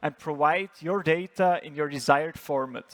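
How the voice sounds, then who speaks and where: A man talks with an Austrian accent and ordinary pitch variation. The sound is dry and close, with no echo. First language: German. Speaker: startup founder and CEO. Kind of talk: startup pitch presentation.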